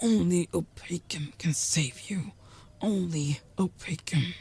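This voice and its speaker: A put-on character voice whispers at a fairly slow pace. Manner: whispering.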